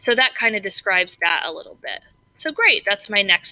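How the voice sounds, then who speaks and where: A loud woman's voice, fairly high and bright, sharp in tone, with very wide pitch swings at a moderate pace, in a dry, close sound with no echo. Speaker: tutorial maker. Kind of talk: tutorial. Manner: casual, hesitant with fillers.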